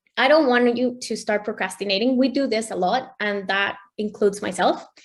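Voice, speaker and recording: This woman talks at a fairly quick pace with a Spanish accent. Her pitch is fairly high, with ordinary variation. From Mexico. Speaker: mindset coach. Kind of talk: online workshop presentation.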